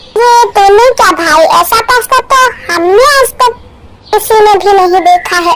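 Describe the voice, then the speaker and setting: At a moderate pace, a cartoonish character voice rings out at an extremely high pitch. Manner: informal, teasing.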